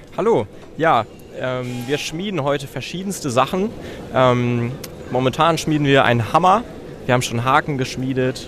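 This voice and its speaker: A man talks at a moderate pace with a medium pitch and ordinary pitch variation. He leaves long, frequent pauses, and there is noticeable background noise. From Germany. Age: young. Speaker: hobby blacksmith. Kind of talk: interview. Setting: trade fair hall.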